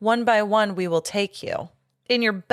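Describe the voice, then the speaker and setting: In a very clean recording with a silent background, a female-sounding put-on character voice at medium pitch moves at a fairly slow pace. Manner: menacing.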